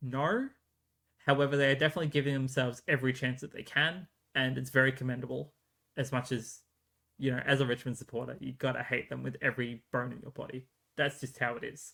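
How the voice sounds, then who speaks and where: A man with an Australian accent talks very fast at a medium pitch, his bright, sharp tone held to fairly even intonation amid big swings in loudness. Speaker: sports podcast host. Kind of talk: solo podcast commentary. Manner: hesitant, many fillers.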